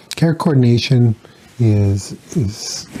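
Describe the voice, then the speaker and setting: A man talks while noticeable background noise fills the recording. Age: 60s. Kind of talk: interview. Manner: halting, many fillers.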